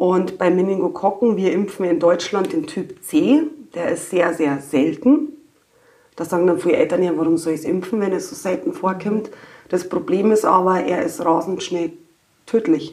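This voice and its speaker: A woman speaks with a Bavarian accent. Her intonation is lively. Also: medium pitch for a woman, moderate pace. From Upper Bavaria. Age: 40s. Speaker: pediatric medical assistant. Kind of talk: casual chat.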